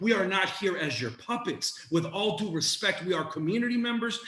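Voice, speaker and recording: Over noticeable background noise, a man with a high pitch speaks at a fairly quick pace in a passionate tone with lively intonation. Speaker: community organizer and educator. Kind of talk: panel presentation.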